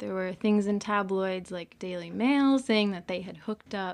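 Against a quiet background, a woman with an ordinary speaking voice talks at a medium pitch with fairly even intonation. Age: 20s. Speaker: podcast host. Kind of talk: casual chat.

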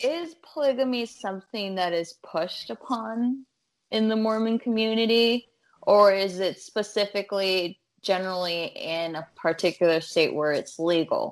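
A woman with an American accent speaks at a moderate pace in a plain, everyday voice, medium in pitch with lively intonation. The recording is very clean, with a silent background. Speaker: stand-up comedian.

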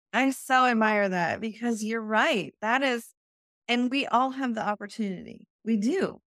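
Dry and close with no echo, a woman's unremarkable speaking voice comes through on a very clean recording with a silent background, fairly high in pitch with ordinary variation and an American accent. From US Midwest, North Dakota. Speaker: real estate investor and business coach. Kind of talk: interview.

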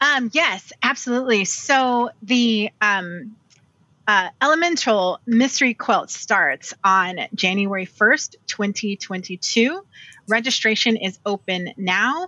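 Very slowly, a woman speaks at a fairly high pitch with lively intonation. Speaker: quilter. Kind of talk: casual interview.

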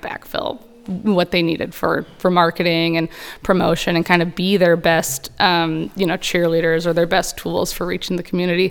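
Against music in the background, a woman with a fairly low pitch speaks at a moderate pace. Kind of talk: casual chat.

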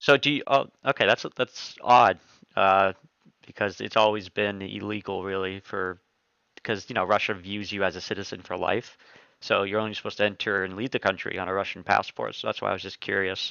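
With a plain, everyday voice, a man speaks fairly quickly at a fairly low pitch and with fairly even intonation. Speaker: podcast host. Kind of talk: casual interview.

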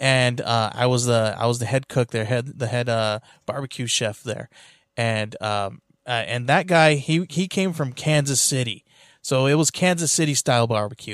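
A man with an American accent at a moderate pace, ordinary pitch variation, on a very clean recording with a silent background. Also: medium pitch for a man. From California. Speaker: podcast host, comic shop worker. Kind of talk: casual chat. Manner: halting.

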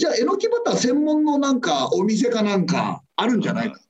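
A man's extremely high voice with very wide pitch swings. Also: hardly any pauses. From Tokyo, Adachi ward. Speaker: comedian and garbage collector. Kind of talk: casual chat.

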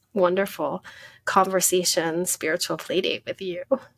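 With an American accent and a plain, everyday voice, a woman speaks at a moderate pace and medium pitch with fairly even intonation, in a dry, close sound with no echo. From US, Philadelphia. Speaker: spiritual coach and yoga professor. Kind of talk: interview, casual chat.

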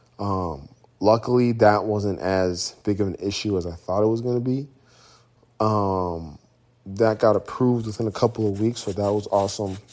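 A man with a plain, everyday voice, fairly low pitch, fairly even intonation and a moderate pace. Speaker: podcast host and business owner. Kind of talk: casual solo monologue.

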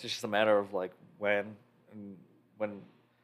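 The speaker is a man. The background is silent and the recording very clean. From Chicago area, Illinois. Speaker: drummer. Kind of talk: casual chat.

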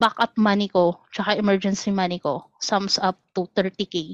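An unremarkable speaking voice moves at a fairly slow pace over a quiet background. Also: woman. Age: 30s. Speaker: caller. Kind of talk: casual chat.

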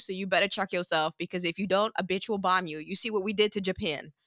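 A woman with an American accent has a bright, sharp tone in a very clean recording with a silent background and a dry, close sound with no echo. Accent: mild Caribbean, mostly American-sounding. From St. Martin, Caribbean. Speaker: model and creative. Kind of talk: casual chat.

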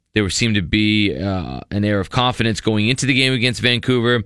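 On a very clean recording with a silent background, a man with a fairly low pitch and a bright, sharp tone talks at a fairly quick pace with ordinary pitch variation. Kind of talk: radio post-match analysis, recapping goal play by play with the coach. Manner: brisk, fluent play-by-play retelling, rising toward the goal.

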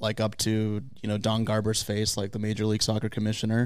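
An ordinary speaking voice with an American accent at a fairly quick pace. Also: man. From US West Coast, San Diego. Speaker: sports video producer. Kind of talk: casual chat.

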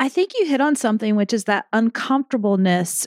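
In a very clean recording with a silent background and dry, close sound with no echo, a woman speaks at a moderate pace in an ordinary speaking voice with lively intonation. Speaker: podcast host and client. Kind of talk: casual interview chat.

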